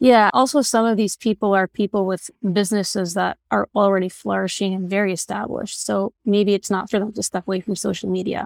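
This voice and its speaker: A woman with an American accent speaks in a plain, everyday voice at a medium pitch, moving at a fairly quick pace with hardly any pauses and fairly even intonation. The very clean recording has a silent background and a dry, close sound with no echo. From Borough Park, Brooklyn, US. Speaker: doctor. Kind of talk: casual chat.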